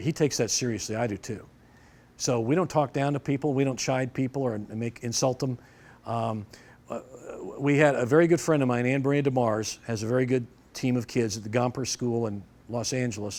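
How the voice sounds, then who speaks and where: Man's medium-pitched, normal speaking voice with ordinary pitch variation at a fairly quick pace. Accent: American. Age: 60s. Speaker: judo instructor and referee. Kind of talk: seminar lecture. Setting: dojo seminar with audience. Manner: conversational, with false starts.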